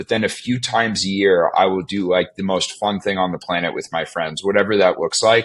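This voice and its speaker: In an ordinary speaking voice with an American accent, a man talks at a fairly quick pace and fairly low pitch, with fairly even intonation and hardly any pauses. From US, Virginia near Washington DC. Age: 20s. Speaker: tech startup executive. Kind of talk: casual interview chat.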